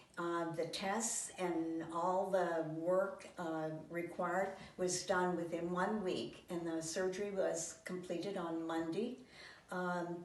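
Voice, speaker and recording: A woman's fairly low, monotone voice at a very slow pace, flat in intonation, with audible room echo and noticeable background noise. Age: 80s+. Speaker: patient. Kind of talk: testimonial. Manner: halting.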